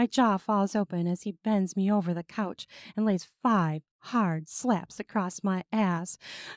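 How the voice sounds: Quiet background behind a natural reading voice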